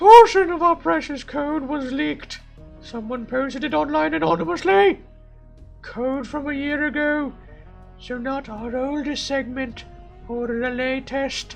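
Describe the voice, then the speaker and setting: Clear music plays in the background as a man does a put-on character voice at a moderate pace. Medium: game stream. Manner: urgent, irritable.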